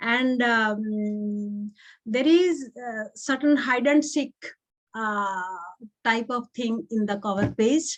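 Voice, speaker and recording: A woman's fairly high voice at a very slow pace. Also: ordinary pitch variation. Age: 60s. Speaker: book reviewer. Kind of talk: panel discussion. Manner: halting.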